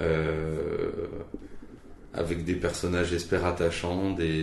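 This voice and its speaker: A man with a very deep, low pitch speaks in monotone, flat intonation amid audible room echo. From Franche-Comté, eastern France. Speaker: novelist. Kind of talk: interview. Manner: halting.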